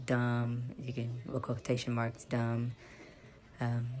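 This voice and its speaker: In a room with audible echo, a woman with an American accent speaks very slowly in a very deep, low voice, her tone dark and mellow and her intonation flat and monotone. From United States. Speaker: psychic channeler. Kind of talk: vlog monologue. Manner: halting, many fillers and restarts.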